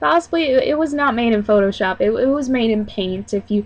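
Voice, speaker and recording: A woman talks at a fairly high pitch, her intonation lively. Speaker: vlogger. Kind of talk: casual vlog. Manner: loud.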